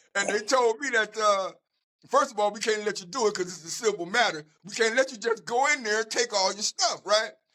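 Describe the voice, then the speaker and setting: A man speaks in a raised, projected voice with an American accent, his high pitch and animated tone carried at a very fast pace. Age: 60s. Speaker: community activist. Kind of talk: casual interview. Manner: animated storytelling with repetitions.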